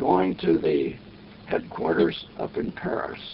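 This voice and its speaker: A man talks in an American accent. There is noticeable background noise. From West Virginia. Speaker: war veteran. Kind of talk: oral history interview answer.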